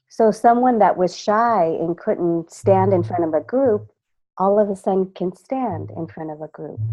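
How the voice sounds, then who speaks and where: A woman with an American accent speaks fairly slowly at a fairly low pitch, her pitch swinging very widely and her loudness rising and falling sharply. Music plays in the background. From California, Mexican parents. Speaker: voice and presence coach. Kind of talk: interview answers with interpretation. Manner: speaks in short phrases pausing for translation.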